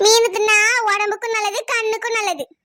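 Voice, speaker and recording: A squeaky, female-sounding cartoonish character voice, extremely high in pitch, at a moderate pace. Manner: sharp-tongued, grumbling.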